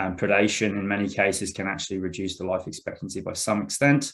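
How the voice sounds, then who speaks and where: A man with a fairly low pitch at a very fast pace, in a very clean recording with a silent background. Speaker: arborist presenter. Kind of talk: presentation.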